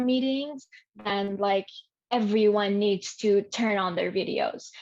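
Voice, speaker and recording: Speaking slowly with a non-native accent, a woman uses a fairly high voice and fairly even intonation. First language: not English. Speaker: learning experience design specialist. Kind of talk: podcast interview.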